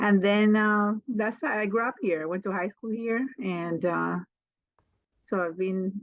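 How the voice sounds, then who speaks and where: At a fairly slow pace, a woman with a slight Spanish accent speaks with ordinary pitch variation. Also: medium pitch for a woman. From Colombia (Barranquilla), US from age 15. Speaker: mobile salon owner, hairstylist. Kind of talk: podcast interview.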